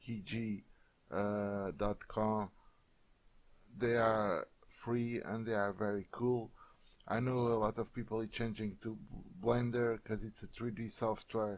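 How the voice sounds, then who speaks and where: With a Portuguese accent, a man speaks very slowly at a fairly low pitch, in a monotone, flat delivery. He leaves long, frequent pauses. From Portugal. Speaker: software tutorial creator. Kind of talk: tutorial. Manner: hesitant, many filler sounds.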